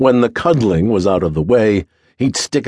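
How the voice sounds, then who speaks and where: A man with a normal speaking voice, medium pitch and lively intonation. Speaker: audiobook narrator. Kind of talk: audiobook narration of a memoir, read aloud in first person. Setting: studio recording. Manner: measured, steady, storytelling pace; nostalgic, wry, warmly descriptive.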